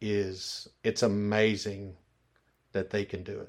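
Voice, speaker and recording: In a Memphis accent, a man speaks in a fairly low, flat monotone. The recording is very clean with a silent background. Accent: Southern US (Memphis). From US South, Memphis, Tennessee. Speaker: restaurant owner. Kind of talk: interview.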